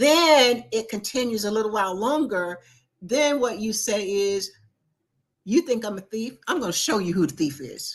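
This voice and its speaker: A woman with a fairly high pitch and an animated tone, very wide pitch swings, at a moderate pace. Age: 70s. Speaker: talk show co-host, doctor. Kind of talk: casual chat.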